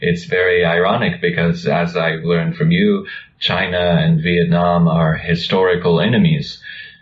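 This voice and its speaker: Noticeable background noise and audible room echo accompany a man with an American accent who speaks at a moderate pace with very even loudness. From United States. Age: young. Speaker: video channel co-host. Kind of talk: conversational discussion.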